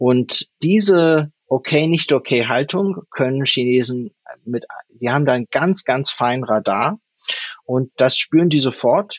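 Speaking at a very slow pace, a man uses a medium pitch and lively intonation. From Germany. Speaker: leadership coach. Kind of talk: interview. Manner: hesitant, many fillers.

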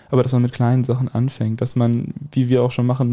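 The man's voice sits at a medium pitch with a dark, mellow tone. He speaks at a fairly quick pace. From Westphalia, Germany (Soest district village). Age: 18. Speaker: student representative. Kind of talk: casual chat.

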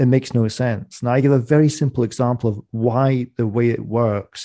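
A man's medium-pitched, dark and mellow voice with a Scottish accent. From Scottish Borders. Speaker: economist and author. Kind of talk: interview. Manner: animated.

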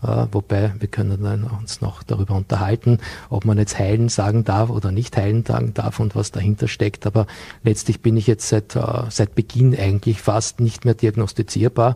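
Fairly level intonation runs through speech delivered at a middling speed. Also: man, dry, close sound with no echo. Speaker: business consultant and nutrition coach. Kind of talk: TV studio interview. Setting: TV studio.

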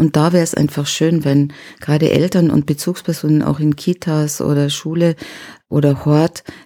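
Recorded very cleanly against a silent background, a woman speaks in a very deep, low pitch, her dark, mellow tone monotone and flat, the sound dry and close with no echo. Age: 60s. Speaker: self-defence trainer and trauma therapist. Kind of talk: interview.

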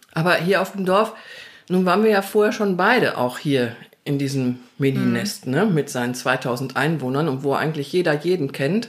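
A woman's very deep, low voice with lively intonation at a moderate pace. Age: 60s. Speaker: interviewee sharing coming-out story. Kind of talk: casual interview conversation. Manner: animated.

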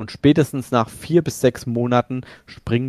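A man's medium-pitched voice, a normal speaking voice with fairly even intonation at a moderate pace, in a very clean, dry, close recording with no echo and a silent background. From central Hesse, Germany. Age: 40s. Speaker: sim racing shop owner. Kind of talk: casual podcast interview.

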